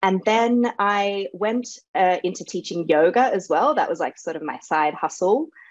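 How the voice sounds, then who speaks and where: A woman with an Australian accent speaks at a moderate pace, her medium-pitched voice rising and falling in a lively way over a quiet background. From Australia, Sydney. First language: Serbo-Croatian. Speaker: author and dancer. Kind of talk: interview.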